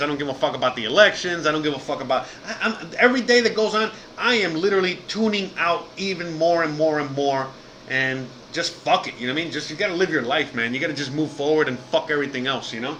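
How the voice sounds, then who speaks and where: Over noticeable background noise, a man with a fairly high pitch talks very fast in an animated tone with lively intonation. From Miami, Cuban-American family. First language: Spanish. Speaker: live streamer, podcaster, former chef. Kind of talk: live stream casual chat. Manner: animated, casual, many fillers.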